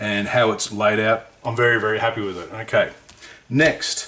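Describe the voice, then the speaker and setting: A man with an Australian accent is heard against noticeable background noise. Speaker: scale model hobbyist and reviewer. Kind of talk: book review video. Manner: casual, conversational.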